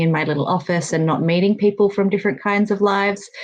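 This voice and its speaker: A woman speaks with an Australian accent. Her pitch varies in an ordinary way. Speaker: workplace safety and communications consultant. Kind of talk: online panel interview.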